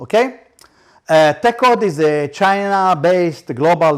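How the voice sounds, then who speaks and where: This man speaks in a high voice with lively intonation. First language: Hebrew. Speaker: startup founder. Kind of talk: business presentation. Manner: halting.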